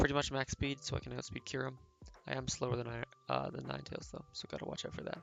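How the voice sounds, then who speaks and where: Noticeable background noise is present. Over it, a man talks very fast. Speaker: competitive Pokemon player. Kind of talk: gameplay commentary. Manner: casual, with fillers.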